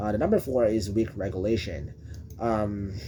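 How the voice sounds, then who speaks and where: A man speaks at a fairly slow pace with a Filipino accent, his fairly low voice dark, mellow and somewhat breathy. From Philippines. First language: Filipino (Tagalog or other Philippine language). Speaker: presenter explaining a school topic. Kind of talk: unscripted explainer presentation. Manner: halting, many fillers and restarts.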